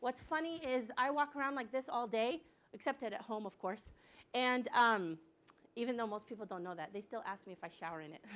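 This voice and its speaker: A woman's high voice, fairly quick, with very wide pitch swings and big jumps in loudness. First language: bilingual Arabic and English. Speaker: director of a refugee support nonprofit. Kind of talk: lecture. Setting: hospital grand rounds talk.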